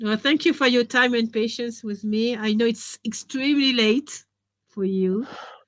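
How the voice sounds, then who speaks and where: A woman with a French accent, her fairly high voice at a moderate pace with fairly even intonation, in a very clean recording with a silent background. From France. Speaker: education author and trainer. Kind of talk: interview.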